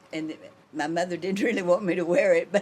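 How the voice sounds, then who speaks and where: A woman's fairly low voice comes through quickly, at a fairly brisk clip, with noticeable noise behind her. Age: 80s+. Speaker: embroidery shop owner. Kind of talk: casual interview.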